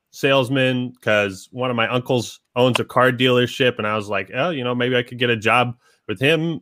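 A man's medium-pitched, bright, sharp voice with an American accent at a moderate pace, in a dry, close sound with no echo. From Washington State, Seattle area. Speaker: YouTube game reviewer. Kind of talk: casual interview chat. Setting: video call via webcam.

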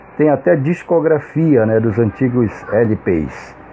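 This man talks at a very slow pace and a medium pitch. His intonation is lively, and noticeable background noise sits behind him. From Manaus, Amazonas, Brazil. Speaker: samba musician and cultural researcher. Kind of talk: interview.

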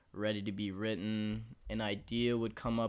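A man with an American accent speaks at medium pitch in an animated tone. His pace is fairly slow, and the recording is very clean with a silent background. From Texas. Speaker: guest rapper and music producer. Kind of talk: casual chat. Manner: animated, joking.

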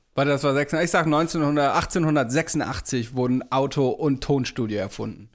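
An animated man speaks at a fairly slow pace with fairly high pitch and ordinary pitch variation. The recording is very clean, with a silent background. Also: very even loudness. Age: 30s. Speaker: podcast co-host. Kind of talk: casual chat.

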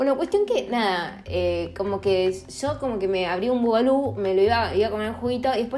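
A woman at a very fast pace, fairly high pitch and ordinary pitch variation, with audible room echo. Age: 30s. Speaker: podcaster. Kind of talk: casual monologue. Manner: animated.

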